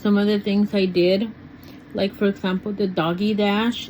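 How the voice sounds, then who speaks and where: A woman speaks at a moderate pace. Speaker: lifestyle vlogger. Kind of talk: casual vlog talk. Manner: rambling with fillers.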